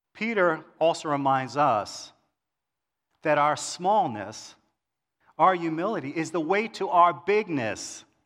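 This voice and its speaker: Speaking with an American accent at a very slow pace, a man with a fairly high pitch uses lively intonation and long, frequent pauses, in a very clean recording with a silent background. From New York City, Queens. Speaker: church elder, lay preacher. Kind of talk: sermon. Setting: church service with congregation.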